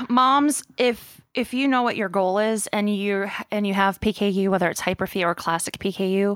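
A woman with a plain, everyday voice, ordinary pitch variation and a fairly slow pace, in a dry, close sound with no echo on a very clean recording with a silent background. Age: 30s. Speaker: person living with PKU, mother. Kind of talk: interview.

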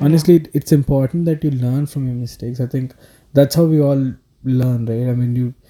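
Dry and close with no echo, a man with a Telugu accent speaks in a dark, mellow tone at medium pitch with fairly even intonation. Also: fairly quick pace. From South India. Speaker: podcast guest. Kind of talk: casual chat.

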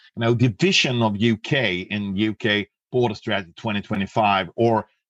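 Against a quiet background, a man with a Swedish accent speaks with fairly even intonation in a dry, close sound with no echo. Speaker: customs and trade expert. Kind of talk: interview. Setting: remote call.

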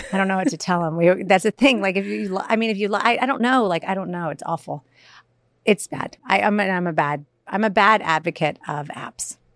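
A woman speaks at a fairly quick pace with an American accent in a normal speaking voice, medium-pitched, on a very clean recording with a silent background and a dry, close sound with no echo. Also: ordinary pitch variation. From US South. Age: 40s. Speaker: comedian and author. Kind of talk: casual chat.

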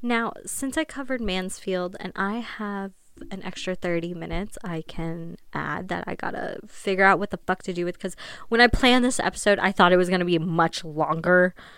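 In a Midwestern American accent, a woman with medium pitch talks at a moderate pace in an animated tone with ordinary pitch variation, on a very clean recording with a silent background. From Ohio. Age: 20s. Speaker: podcast host. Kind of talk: casual monologue.

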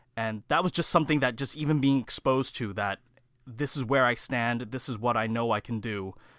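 A man with a normal speaking voice and a Canadian accent, medium in pitch with ordinary pitch variation, at a fairly quick pace, in a very clean recording with a silent background. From Canada, Mississauga (Ontario). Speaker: public relations student. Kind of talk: interview.

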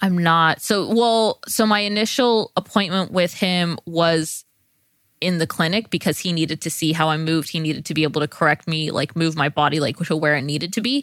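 A woman with an American accent speaks fairly quickly in a plain, everyday voice, fairly low in pitch with ordinary pitch variation, the sound dry and close with no echo. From California, San Joaquin Valley. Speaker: podcast co-host. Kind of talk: casual chat.

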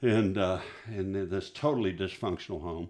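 Against a quiet background, a man talks with a West Texas accent. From West Texas (Midland). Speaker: pastor. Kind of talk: testimony. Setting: studio.

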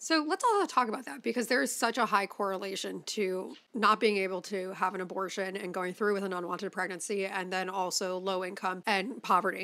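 Over noticeable background noise, a woman with an American accent talks at a fairly quick pace with hardly any pauses and ordinary pitch variation. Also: medium pitch for a woman. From Chicago, US Midwest. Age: 20s. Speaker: podcast host. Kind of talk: casual chat. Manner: animated.

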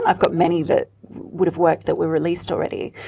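In an Australian accent, a woman speaks at a fairly quick pace with a medium pitch and a dark, mellow tone. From Australia (Sydney), childhood partly in Rome. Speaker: singer and performer. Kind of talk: interview.

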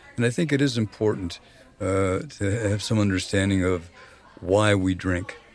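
A man talks at a moderate pace with a fairly low pitch and ordinary pitch variation. His loudness stays very even over noticeable background noise. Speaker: recovering alcoholic and therapist. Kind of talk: casual chat.

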